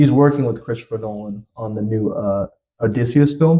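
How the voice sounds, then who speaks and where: A man's dark, mellow voice at a medium pitch. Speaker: upcoming musician, rapper. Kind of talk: casual chat. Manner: stuttering at times.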